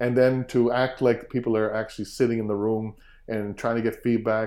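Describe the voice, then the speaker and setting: At a fairly quick pace, a man with a Cape Breton accent speaks in a fairly low voice. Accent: Cape Breton Canadian. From Cape Breton, Nova Scotia, Canada. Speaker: fiddler and music teacher. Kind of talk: interview. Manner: hesitant, many fillers.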